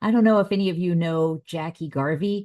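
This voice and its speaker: A woman talks with a Californian accent and ordinary pitch variation. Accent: non-Southern, Californian. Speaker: family engagement trainer. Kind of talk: conference presentation.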